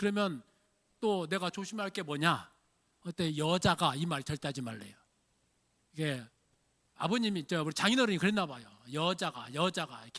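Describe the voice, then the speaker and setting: A man's high-pitched voice with a bright, sharp tone and lively intonation, at a moderate pace with long, frequent pauses, on a very clean recording with a silent background. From Jeolla region, Korea. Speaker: pastor. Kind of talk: sermon. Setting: church.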